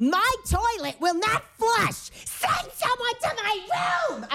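Shouting in a put-on character voice with a New York accent, a female-sounding voice goes shrill at an extremely high pitch and a very slow pace. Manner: loud, screaming.

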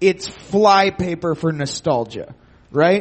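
There is noticeable background noise as a man with a high voice speaks at a very slow pace. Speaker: audience contestant.

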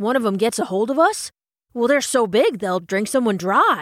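A woman uses a put-on character voice with a fairly high pitch and lively intonation. The recording is very clean, with a silent background. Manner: excitable, rustic.

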